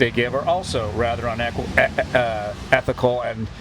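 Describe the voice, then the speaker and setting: This man talks at a moderate pace, his medium pitch rising and falling with ordinary variation. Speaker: podcast host. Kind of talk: casual chat. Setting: on a porch, rainy day. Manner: loud.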